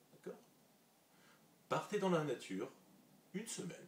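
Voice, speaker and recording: A man speaks at a very slow pace in a somewhat breathy voice. His pitch swings very widely. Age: 30s. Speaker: vlogger. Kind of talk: vlog monologue. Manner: casual, conversational.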